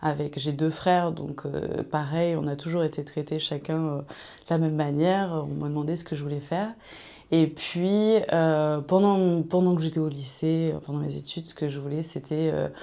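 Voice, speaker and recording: A woman talks at a moderate pace with a very deep, low pitch. Her tone is dark and mellow, and her intonation stays fairly even. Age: 30s. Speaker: author coach, digital nomad. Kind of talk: interview. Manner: hesitant, many fillers.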